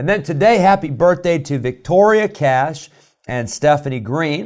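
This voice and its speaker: In an American accent, a man speaks at a moderate pace with lively intonation. He has an unremarkable speaking voice, and the recording is very clean with a silent background. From US Midwest, Illinois. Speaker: pastor. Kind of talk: radio devotional with sermon. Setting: church studio radio broadcast.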